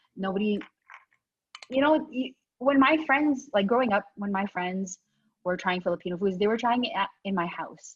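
At a moderate pace and medium pitch, a woman speaks with a somewhat breathy voice and lively intonation, leaving long, frequent pauses. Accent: Canadian. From Canada, born in the Philippines. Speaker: restaurant owner. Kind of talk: casual interview.

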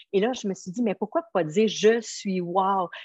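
Dry and close with no echo, a woman in a Quebec accent speaks fairly slowly in an animated tone with ordinary pitch variation. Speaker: motivational coach, nutrition product seller. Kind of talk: interview.

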